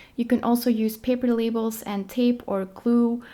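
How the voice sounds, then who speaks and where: A woman with a Dutch accent speaks at a fairly high pitch in a dark, mellow tone, on a very clean recording with a silent background. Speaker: lifestyle vlogger. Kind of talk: casual tutorial vlog. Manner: casual, filler-heavy.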